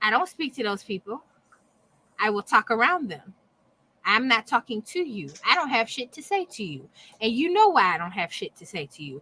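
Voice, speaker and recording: A woman with a fairly high pitch, a bright, sharp tone and vocal fry swings very widely in pitch and loudness. She leaves long, frequent pauses, and the sound is dry and close with no echo. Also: moderate pace. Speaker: podcast co-host. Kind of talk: casual chat.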